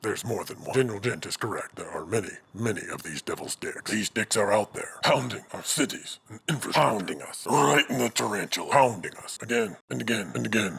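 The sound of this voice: A man does a cartoonish character voice, raspy and medium in pitch. He moves at a fairly quick pace. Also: hardly any pauses.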